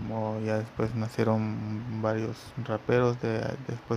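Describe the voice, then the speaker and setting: Over noticeable background noise, a man with a Mexican accent speaks at medium pitch in a monotone, flat intonation. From Mexico. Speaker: podcast host, former graffiti artist. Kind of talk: solo podcast monologue. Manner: halting, many fillers.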